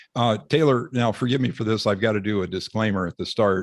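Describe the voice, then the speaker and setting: In a normal speaking voice, a man with an American accent and fairly low pitch talks at a fairly quick pace, in a dry, close sound with no echo on a very clean recording with a silent background. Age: 60s. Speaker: retired surgeon and author. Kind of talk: interview.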